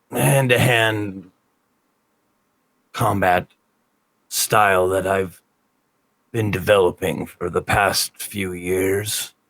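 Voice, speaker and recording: Using a put-on character voice, a man speaks fairly low and at a very slow pace, with long, frequent pauses. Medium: actual play.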